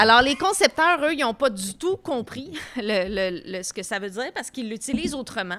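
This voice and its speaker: A woman with a fairly high pitch speaks at a fairly slow pace, her intonation lively. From Quebec, Tracy; Quebec. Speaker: comedian podcast co-host, pop culture columnist; comedian podcast co-host. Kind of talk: casual chat. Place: studio. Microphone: studio mic.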